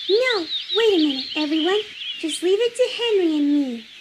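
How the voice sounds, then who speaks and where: A squeaky, put-on character voice, female-sounding, at an extremely high pitch and moderate pace, with clear background noise. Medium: machinima. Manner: energetic, brash.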